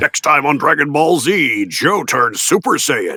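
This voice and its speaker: A man speaks fairly slowly in a put-on character voice, pitched fairly high. Light background noise sits behind him. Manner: dramatic, announcer-like.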